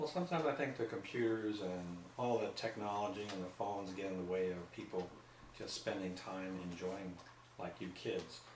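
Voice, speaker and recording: Over noticeable background noise and audible room echo, a man with a fairly low pitch talks at a moderate pace with ordinary pitch variation. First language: not English. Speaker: grandfather being interviewed. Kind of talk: casual family interview.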